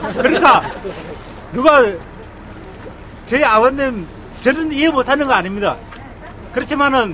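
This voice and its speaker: A man speaks at a moderate pace in a raised, projected voice with extremely high pitch and lively intonation, over noticeable background noise. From Korea, Andong, North Gyeongsang. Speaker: citizen speaker at a rally. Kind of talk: public speech at a rally. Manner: halting.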